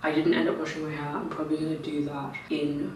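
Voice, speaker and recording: A woman with a very deep, low pitch talks at a fairly quick pace. Noticeable background noise and audible room echo surround her voice. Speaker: lifestyle vlogger. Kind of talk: vlog to camera. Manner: casual.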